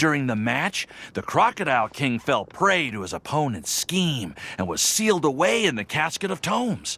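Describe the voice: A man's put-on character voice, fairly high in pitch, at a moderate pace, with big pitch swings, a bright, sharp tone and a slightly husky edge. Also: few pauses.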